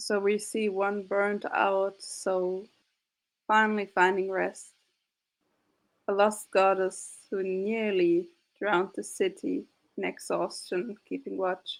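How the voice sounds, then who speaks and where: A woman with a non-native accent speaks at a very slow pace, leaving long, frequent pauses. Her intonation is flat and monotone. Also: medium pitch for a woman. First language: not English. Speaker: game master of tabletop roleplay actual play. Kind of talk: casual chat; closing narration of roleplay game.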